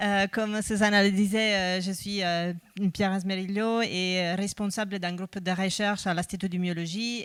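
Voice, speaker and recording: On a very clean recording with a silent background, a woman with a slight Italian accent speaks in a medium pitch with monotone, flat intonation. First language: Italian (speaking French). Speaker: researcher. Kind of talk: conference talk. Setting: conference with audience. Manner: hesitant, many fillers.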